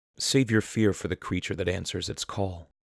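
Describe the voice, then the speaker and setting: Recorded very cleanly with a silent background and a dry, close sound with no echo, a man speaks at a moderate pace. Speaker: horror story narrator / YouTube creepypasta reader. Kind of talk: horror story narration, creepypasta reading.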